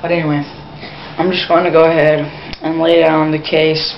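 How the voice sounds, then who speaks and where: A woman's very deep, low voice with an American accent, amid noticeable background noise and audible room echo. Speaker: vlogger. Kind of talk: opinion monologue. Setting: at home, grandparents nearby. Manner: speaking quietly; usually slow, trying to speed up.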